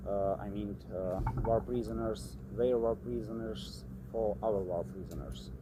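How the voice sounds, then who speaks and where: With audible room echo, a man talks at a fairly slow pace in a very deep, low voice that makes very wide pitch swings. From Ukraine. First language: Ukrainian or Russian. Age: 20s. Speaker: soldier, former marine. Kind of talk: interview. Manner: halting, many hesitations.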